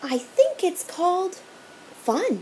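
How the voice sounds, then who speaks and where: Over clear background noise, a woman does a put-on character voice at an extremely high pitch with very wide pitch swings. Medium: read story. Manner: prim, schoolmarmish.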